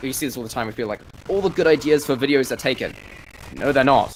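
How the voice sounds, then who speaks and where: Noticeable background noise fills the recording. Through it, a man talks at a very fast pace. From New Zealand. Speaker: YouTuber and game streamer. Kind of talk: casual chat. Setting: live stream with voice chat. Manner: trained, clear speaking voice.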